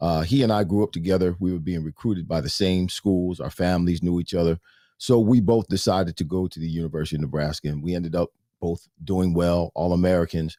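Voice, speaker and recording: Very deep and low in pitch, a man with a dark, mellow tone speaks very fast with fairly even intonation on a very clean recording with a silent background and a dry, close sound with no echo. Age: 60s. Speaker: former pro football player and pastor. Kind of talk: interview.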